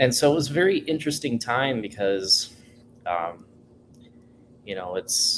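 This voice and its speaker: A man's medium-pitched voice at a fairly slow pace, with very wide pitch swings and long, frequent pauses. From Colombia (Bogota), raised in Minnesota from age five. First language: Spanish. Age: 20s. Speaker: go-go dancer. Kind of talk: casual chat.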